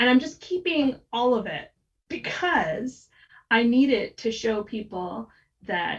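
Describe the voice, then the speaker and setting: Vocal fry runs through this voice, which has an American accent and very wide pitch swings. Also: woman. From United States. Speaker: copywriter. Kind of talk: podcast interview. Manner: animated.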